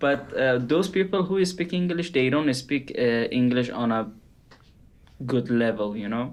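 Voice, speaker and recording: The speaker has a non-native accent and a fairly slow pace. The intonation is lively. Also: man, medium pitch for a man. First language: not English. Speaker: podcast co-host, artist. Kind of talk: casual chat.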